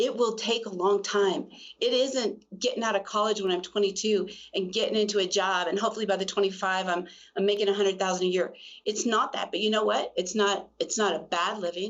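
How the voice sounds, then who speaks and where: An ordinary speaking voice from a woman, medium in pitch, at a fairly quick pace with fairly even intonation. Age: 60s. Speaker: co-founder of a women's health clinic. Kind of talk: casual interview chat.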